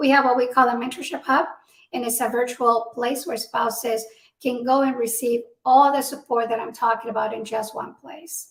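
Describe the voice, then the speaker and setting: Fairly even intonation at a moderate pace, with a Spanish accent. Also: woman, high pitch for a woman. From Mexico. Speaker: military spouse advocate, nonprofit founder. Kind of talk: interview.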